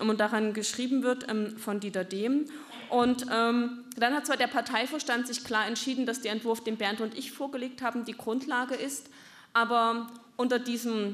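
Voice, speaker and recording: A woman's high voice with fairly even intonation. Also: moderate pace. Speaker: party politician. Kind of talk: speech at a party meeting. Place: hall. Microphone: podium.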